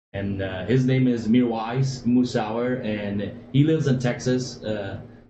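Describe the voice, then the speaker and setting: A man speaks at a fairly slow pace with fairly even intonation and a medium pitch. Audible room echo surrounds the voice. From Afghanistan. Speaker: former military interpreter, financial services worker. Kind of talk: interview. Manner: hesitant, many fillers.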